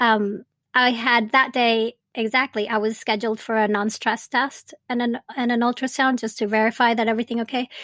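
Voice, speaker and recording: In a Spanish accent, a woman speaks at a moderate pace with hardly any pauses, her fairly high voice monotone and flat, dry and close with no echo, on a very clean recording with a silent background. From Venezuela. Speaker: birth doula and podcast host. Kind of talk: interview, telling her birth story.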